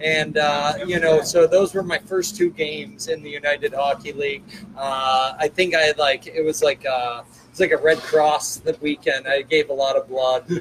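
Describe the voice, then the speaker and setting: An ordinary speaking voice with an American accent, a moderate pace and fairly even intonation. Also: man, fairly high pitch for a man. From Chicago. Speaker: hockey team general manager, coach and captain. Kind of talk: casual interview.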